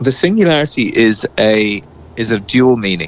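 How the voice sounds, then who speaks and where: A man at medium pitch, ordinary pitch variation, noticeable background noise behind him. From England and South Wales. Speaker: singer-songwriter and producer. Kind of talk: interview.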